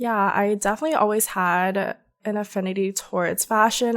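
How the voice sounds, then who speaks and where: A woman with a plain, everyday voice speaks at a moderate pace in an American accent. Her medium pitch holds fairly even intonation on a very clean recording with a silent background. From US South, Georgia. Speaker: content creator. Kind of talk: casual chat.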